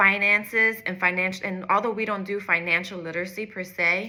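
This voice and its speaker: Speaking at a moderate pace, a woman with a medium pitch uses fairly even intonation and a bright, sharp tone. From US, North Philadelphia. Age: 30s. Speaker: executive coach. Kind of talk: direct-to-camera personal story.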